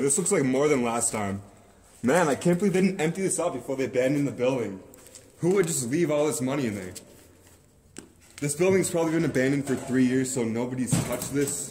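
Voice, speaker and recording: A man talks at a very fast pace with ordinary pitch variation. Light background noise is present. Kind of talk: casual vlog chat. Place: shop. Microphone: phone near.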